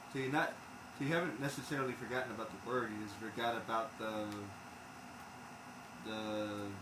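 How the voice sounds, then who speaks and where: Despite a fairly quick pace, a man leaves long, frequent pauses, with audible room echo and noticeable background noise around him. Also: medium pitch for a man, ordinary pitch variation. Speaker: game streamer. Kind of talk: casual chat. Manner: stumbles over words.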